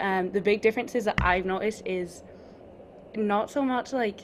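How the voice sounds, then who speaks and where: Speaking fairly slowly in a Scottish accent, a woman holds a medium pitch and fairly even intonation. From Scotland. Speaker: college basketball player. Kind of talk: interview.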